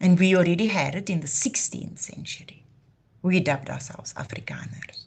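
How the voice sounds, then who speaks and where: Using vocal fry and a fairly low pitch, a woman talks at a fairly quick pace with lively intonation and big swings in loudness. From South Africa, Cape Town. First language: Afrikaans. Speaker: YouTube channel host. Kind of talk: live stream monologue. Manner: impassioned.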